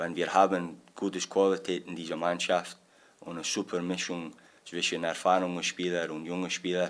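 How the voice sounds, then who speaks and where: With a Scottish accent, a man talks at a fairly slow pace in a very deep, low pitch. His intonation is monotone and flat. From Scotland. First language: English (speaking German). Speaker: football assistant coach. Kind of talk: press conference. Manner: halting.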